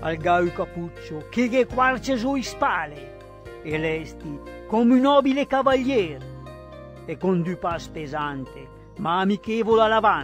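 A man speaks at a fairly slow pace with music playing behind him. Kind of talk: poetry reading.

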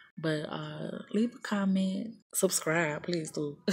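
A woman with an American accent speaks in a somewhat breathy voice with ordinary pitch variation. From US South. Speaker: YouTuber. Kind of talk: casual tutorial vlog. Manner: casual, hesitant with fillers. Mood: casual, a bit scattered. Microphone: phone near.

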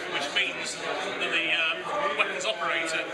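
A man speaks over music in the background. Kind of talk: product explanation interview. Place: hall. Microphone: phone near.

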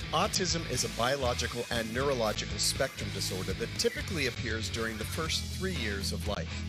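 A man with an American accent speaks at a very deep, low pitch in an upbeat tone, at a fairly quick pace with hardly any pauses. His pitch swings very widely over clear music in the background. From Las Vegas, USA. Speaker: event emcee / host. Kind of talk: charity livestream hosting. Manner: upbeat, friendly, polished. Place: stage. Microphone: handheld.

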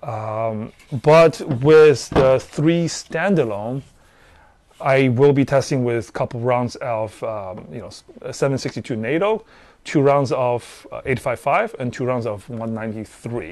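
A man speaks at a very slow pace with lively intonation and big swings in loudness, in a dry sound with no echo. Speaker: gear reviewer. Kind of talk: casual explanatory talk to camera. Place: garden. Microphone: lapel.

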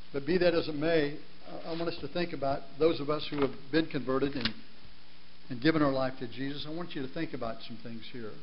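Over noticeable background noise, a man with a fairly high pitch talks at a very fast pace. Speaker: guest preacher. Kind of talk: sermon. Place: church.

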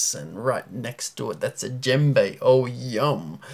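At a very slow pace, a man speaks with medium pitch. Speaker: spoken word poet. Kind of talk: spoken word poetry performance. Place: home room. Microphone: phone near.

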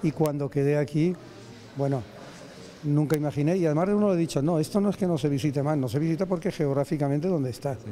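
A man's fairly high voice at a very fast pace, with ordinary pitch variation and light background noise. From Alicante, Spain. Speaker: painter, course participant. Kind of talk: casual interview. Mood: warm, enthusiastic. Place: hall. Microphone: handheld.

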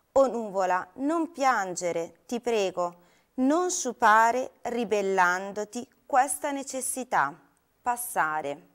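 A woman's fairly high voice with very wide pitch swings, at a very slow pace, against a quiet background. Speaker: poetry reader. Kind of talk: poetry reading aloud, a lyrical elegiac poem addressed to a cloud. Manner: slow, solemn, contemplative, with long pauses and a wistful tone. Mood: calm, melancholic. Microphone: lapel.

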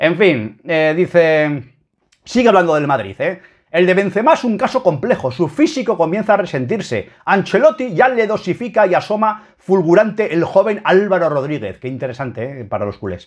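Animated and high-pitched, a man's voice swings very widely in pitch. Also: moderate pace, quiet background. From Spain. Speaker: football YouTuber; football fan video blogger. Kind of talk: opinion commentary reading a column. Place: home room. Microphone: webcam.

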